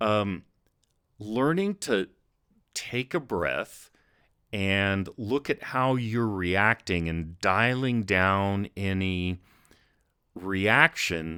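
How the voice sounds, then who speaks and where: On a very clean recording with a silent background and a dry, close sound with no echo, a man speaks very slowly at a fairly low pitch, with a bright, sharp tone and ordinary pitch variation. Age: 60s. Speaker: miniature painting youtuber. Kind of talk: casual talk to camera. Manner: conversational with fillers.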